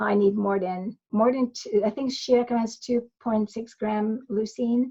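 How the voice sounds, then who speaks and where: A woman speaks at a fairly slow pace with fairly even intonation. Her fairly high voice is somewhat breathy. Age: 60s. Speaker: migraine and electrolyte researcher, author. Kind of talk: podcast interview. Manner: halting, frequent false starts.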